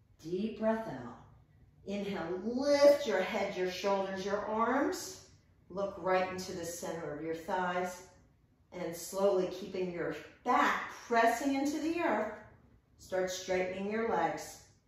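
A woman talks at a very slow pace in a room with strong echo. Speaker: yoga and fitness instructor. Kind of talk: guided workout class cueing breath-timed reps. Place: home room.

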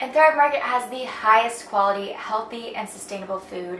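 A woman talks at a moderate pace with ordinary pitch variation, her voice carrying audible room echo over light background noise. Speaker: lifestyle vlogger. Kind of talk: sponsored ad read in vlog. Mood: warm, enthusiastic. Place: home room.

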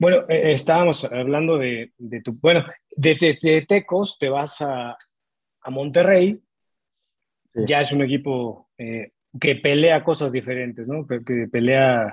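In a Mexican accent, the speaker goes at a very slow pace with ordinary pitch variation, the sound dry with no echo and the background quiet. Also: man, fairly high pitch for a man. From Mexico. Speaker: sports podcast co-host. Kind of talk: interview. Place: home room. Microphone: earbuds.

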